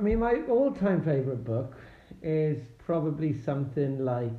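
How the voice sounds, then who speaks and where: Speaking at a fairly slow pace in a Welsh accent, a man is heard with audible room echo. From Wales. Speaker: tech worker, parent guest. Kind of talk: casual chat. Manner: hesitant, many fillers.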